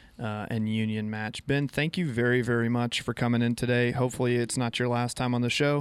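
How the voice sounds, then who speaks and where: A man's medium pitch at a fairly quick pace, monotone and flat, with hardly any pauses. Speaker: radio co-host and volleyball coach. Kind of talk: local radio sports show chat, ad read. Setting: radio studio. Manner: casual, conversational.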